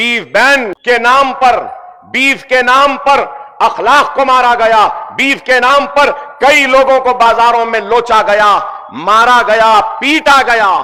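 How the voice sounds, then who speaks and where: With a raised, projected voice at very even loudness, a man speaks at an extremely high pitch with ordinary pitch variation against noticeable background noise. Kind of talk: political rally speech. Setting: public rally, addressing a crowd. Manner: forceful, emphatic.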